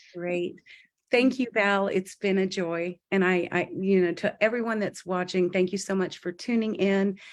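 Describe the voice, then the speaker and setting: Against a quiet background, a woman with an ordinary speaking voice talks at a moderate pace and medium pitch, with fairly even intonation. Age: 60s. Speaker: guest sharing testimony. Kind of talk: testimony.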